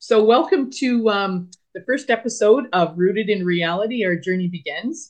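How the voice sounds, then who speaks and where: At a moderate pace, a woman with a plain, everyday voice speaks at a fairly high pitch. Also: lively intonation. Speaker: podcast co-host. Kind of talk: casual chat.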